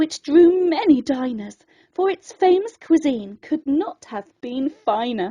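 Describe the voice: A woman speaks slowly in a dark, mellow tone. Her high pitch makes big swings up and down.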